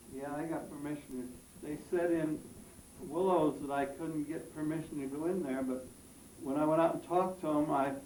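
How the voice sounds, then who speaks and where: A man with an American accent speaks at a moderate pace in a fairly high, monotone voice with flat intonation, with noticeable background noise and audible room echo. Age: 80s+. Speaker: elderly local resident. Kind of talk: interview with schoolchildren. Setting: classroom. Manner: halting.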